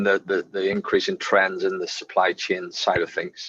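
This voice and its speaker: A man with a Northern Irish accent, heard in a dry, close sound with no echo. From Northern Ireland. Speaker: webinar co-presenter, sustainability consultant. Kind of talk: business webinar presentation.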